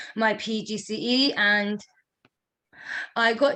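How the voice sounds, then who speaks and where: A woman speaks with a bright, sharp tone. Her intonation is monotone and flat. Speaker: teacher trainee, stammering programme graduate. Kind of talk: interview answer.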